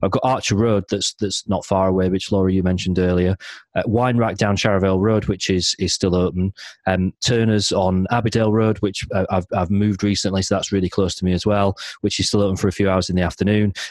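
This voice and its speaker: A very fast, monotone, flat delivery from a man with a fairly low voice, very even loudness, and a South Yorkshire accent. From South Yorkshire, Barnsley. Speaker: beer podcast host. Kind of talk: casual chat.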